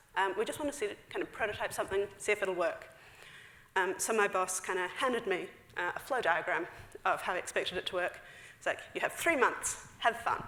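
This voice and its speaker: In a New Zealand accent, a woman talks at a fairly quick pace. Her medium-pitched voice has lively intonation. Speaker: software engineer. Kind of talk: conference talk. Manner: fast; casual, filler-heavy.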